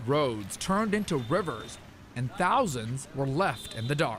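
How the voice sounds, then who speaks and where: Noticeable background noise sits behind a man speaking at a fairly slow pace. His pitch is fairly high and swings very widely. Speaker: TV news reporter. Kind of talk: TV news report. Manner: energetic.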